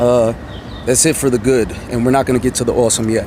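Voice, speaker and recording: A man talks with a medium pitch. Noticeable background noise runs behind him. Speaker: rideshare driver and vlogger. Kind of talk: casual vlog monologue. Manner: animated.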